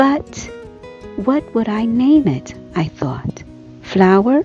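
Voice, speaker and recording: A woman talks at a very slow pace over music in the background. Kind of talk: art tutorial narration. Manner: soft-spoken, soothing.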